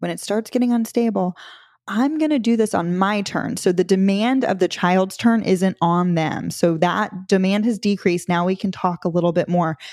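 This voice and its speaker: In a very clean recording with a silent background and a dry, close sound with no echo, a woman with an unremarkable speaking voice talks fairly slowly at medium pitch. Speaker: parenting podcast host. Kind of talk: educational podcast talk; dramatic narration, playful think-aloud role-play. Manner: warm, empathetic, practical.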